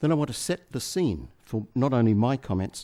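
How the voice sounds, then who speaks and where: A man's voice has a dark, mellow tone. It sits at a fairly low pitch. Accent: Australian. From Australia. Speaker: management consultant. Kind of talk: conference keynote speech.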